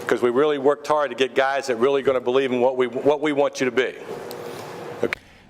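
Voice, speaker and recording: A man with an American accent speaks at a very fast pace and medium pitch, in a monotone, flat intonation. His loudness stays very even over noticeable background noise. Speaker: high school basketball coach. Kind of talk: team talk. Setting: restaurant dinner.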